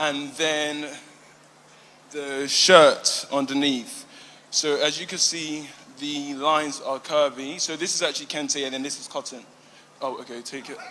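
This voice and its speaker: Speaking at a fairly slow pace, a man with a British accent holds a fairly high, monotone, flat pitch and leaves long, frequent pauses. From UK, Ghanaian and Igbo heritage. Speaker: emerging fashion designer. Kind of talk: pitch presentation. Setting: live fashion event with judges. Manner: halting, many fillers.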